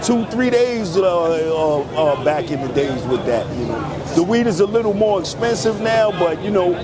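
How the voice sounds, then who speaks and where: Crowd noise in the background and audible room echo fill the clip. A high-pitched man with a New York accent speaks at a moderate pace with hardly any pauses. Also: lively intonation. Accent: New York (Bronx). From New York City, the Bronx. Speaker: customer waiting in line. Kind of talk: casual street interview.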